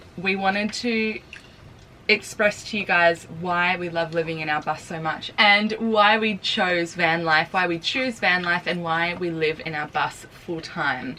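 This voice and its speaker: The speaker, with an Australian accent, goes at a fairly slow pace with ordinary pitch variation. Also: woman. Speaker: vlogger. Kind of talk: casual vlog talk. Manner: soft-spoken.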